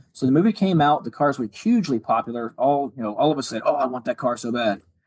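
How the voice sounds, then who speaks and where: Pitched fairly high, a man talks very fast with lively intonation in a dry, close recording with no echo. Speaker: retired police officer and car builder. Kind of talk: podcast interview.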